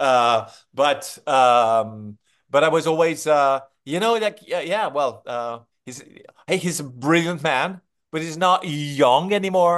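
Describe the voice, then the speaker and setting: With a French accent, a man speaks at a fairly high pitch with lively intonation against a quiet background. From France. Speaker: film director. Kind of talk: interview.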